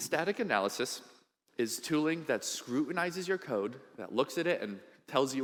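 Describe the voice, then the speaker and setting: Animated in tone, a man talks at a moderate pace with very wide pitch swings. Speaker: conference speaker. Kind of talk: conference talk. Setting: stage with audience.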